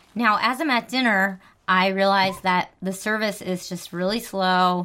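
With a slight New Jersey accent, a woman speaks at medium pitch with fairly even intonation on a very clean recording with a silent background. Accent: New Jersey American, slight. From New Jersey, US. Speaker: podcast host. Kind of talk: casual chat.

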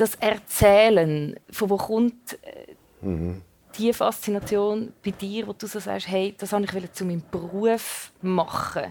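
Very slow pace, big swings in loudness, and fairly even intonation. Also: woman, medium pitch for a woman. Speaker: radio host. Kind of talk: interview before live audience. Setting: stage with audience.

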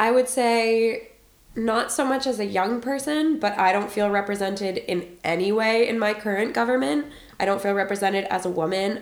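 A woman speaks at a fairly quick pace in a medium pitch with ordinary pitch variation. Background noise is noticeable. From Boston, US. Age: 20s. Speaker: policy analyst, American expat interviewee. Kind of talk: interview answers.

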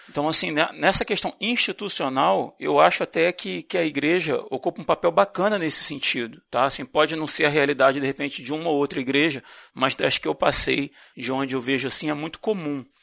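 Bright and sharp in tone, a man talks at a fairly quick pace with a fairly high pitch, ordinary pitch variation and vocal fry, in a dry, close sound with no echo. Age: 40s. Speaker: podcast host. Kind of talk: casual discussion.

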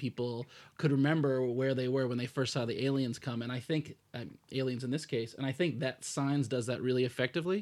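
In an unremarkable speaking voice, a man with an American accent talks at a medium pitch with fairly even intonation, on a very clean recording with a silent background. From United States. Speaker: film podcast co-host. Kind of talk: casual chat.

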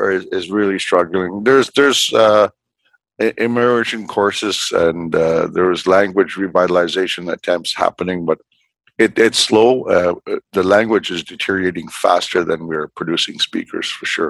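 This is a man speaking. He has a northern Canadian accent. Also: dry, close sound with no echo. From Northwest Territories, Canada (Fort Providence). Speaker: politician. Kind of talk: interview. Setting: remote call from home. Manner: halting, frequent fillers and repetitions.

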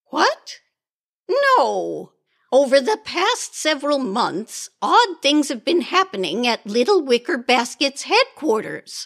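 In a dry, close recording with no echo, a high-pitched woman speaks at a fairly slow pace with very wide pitch swings. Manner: brisk, impatient, tart.

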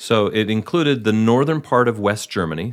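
In a very clean recording with a silent background, a man has an ordinary speaking voice. He speaks at a moderate pace in a fairly low pitch with lively intonation. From Wisconsin, Milwaukee area. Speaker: actor. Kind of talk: interview.

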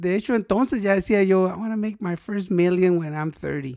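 A man speaks in a high pitch at a moderate pace. His pitch varies in an ordinary way. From northern Mexico, Mexicali. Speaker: pediatric doctor. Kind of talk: casual interview.

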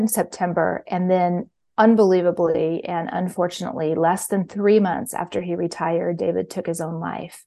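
A woman with an ordinary speaking voice and an American accent, fairly low in pitch, fairly even in intonation, at a moderate pace. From Kansas City, Missouri. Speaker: mindfulness teacher and author. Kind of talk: interview.

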